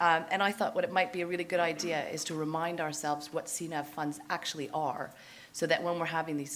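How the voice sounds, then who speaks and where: A woman talking at a very fast pace, her intonation fairly even, with audible room echo. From Canada. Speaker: fund manager. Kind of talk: conference presentation.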